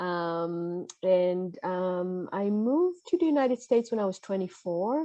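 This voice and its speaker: Speaking in an Israeli accent, a woman uses a medium pitch and ordinary pitch variation. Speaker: podcaster and mental health coach. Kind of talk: casual interview chat. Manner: halting, many fillers.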